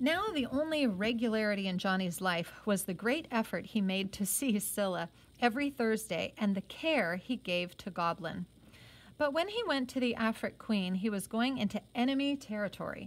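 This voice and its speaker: Lively intonation marks a woman's speech, which moves at a moderate pace. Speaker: reader of a novel, teacher-like. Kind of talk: reading aloud a novel with comments. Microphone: phone near.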